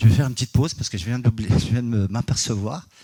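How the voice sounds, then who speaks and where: A man talks at a very fast pace with ordinary pitch variation. His voice is somewhat breathy, with a dark, mellow tone. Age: 60s. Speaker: energy healer and geobiologist. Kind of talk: conference talk. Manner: hesitant, many fillers.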